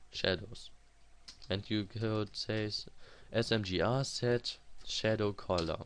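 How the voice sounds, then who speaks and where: This man's pitch is fairly low and his intonation fairly even. He speaks at a very slow pace. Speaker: programming tutorial creator. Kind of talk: screen-recorded coding tutorial. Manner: halting, with fillers.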